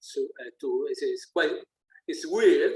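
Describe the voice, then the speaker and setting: With an Italian accent, the speaker talks at a fairly slow pace. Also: man. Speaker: musician. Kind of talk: interview. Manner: halting, many fillers and repeats.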